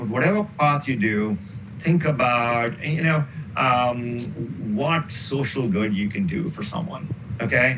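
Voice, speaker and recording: A man speaks at a medium pitch with lively intonation. There is audible room echo. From northern India. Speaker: professor. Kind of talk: interview. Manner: loud.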